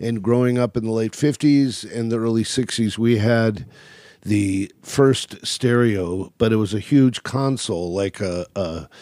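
An American-accented man speaks at a medium pitch and a fairly slow pace, his dark, mellow tone showing ordinary pitch variation in a very clean recording with a silent background. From California. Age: 60s. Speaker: jazz club owner. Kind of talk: casual interview. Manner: talkative, rambling.

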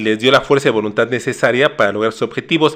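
A man speaks with a Mexican accent. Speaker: nutritionist and podcast host. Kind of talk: casual chat.

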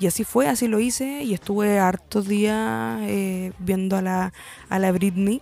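Speaking with a Chilean accent, a woman uses a medium pitch and lively intonation. She goes at a fairly slow pace over noticeable background noise. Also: very even loudness. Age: 20s. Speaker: podcast host. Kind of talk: casual monologue. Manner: hesitant, many fillers.

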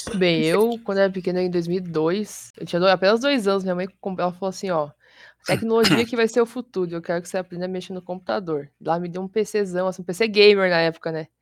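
A woman with an ordinary speaking voice, medium pitch and ordinary pitch variation, at a fairly quick pace with big swings in loudness, on a very clean recording with a silent background. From Curitiba, Brazil. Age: 20s. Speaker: streamer and fighting game player. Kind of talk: casual chat.

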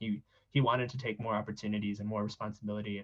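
A man with an American accent talks at a very fast pace in a somewhat breathy voice. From South San Francisco, California. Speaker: nonprofit cofounder. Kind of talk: interview. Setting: podcast.

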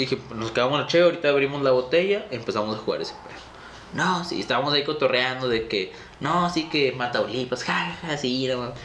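A man's very fast speech in a northern Mexican accent, fairly high in pitch with ordinary pitch variation, amid noticeable background noise and audible room echo. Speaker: podcast host. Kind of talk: casual chat.

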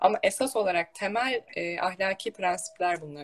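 A woman with an ordinary speaking voice talks at a medium pitch with lively intonation, her sound dry and close with no echo. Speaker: religious talk show host. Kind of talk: casual religious conversation. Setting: online live stream.

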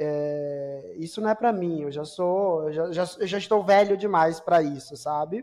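A man speaks at a high pitch with ordinary pitch variation and a moderate pace. The background is quiet. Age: 30s. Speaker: podcast co-host discussing psychoanalysis. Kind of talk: casual chat.

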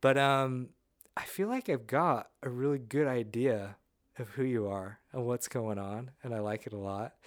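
This man has an unremarkable speaking voice, medium in pitch, with ordinary pitch variation. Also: fairly slow pace. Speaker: podcast host. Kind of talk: casual interview chat.

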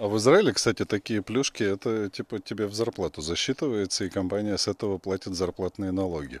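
A man talks at a very fast pace with a fairly low pitch in a very clean recording with a silent background and a dry, close sound with no echo. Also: ordinary pitch variation. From Russia. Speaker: podcast host. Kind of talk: casual chat. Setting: outdoors.

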